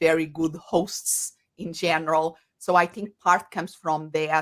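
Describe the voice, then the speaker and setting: A woman with a fairly low pitch and a strong Portuguese accent speaks at a fairly slow pace. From Portugal. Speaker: coach and psychologist. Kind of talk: interview.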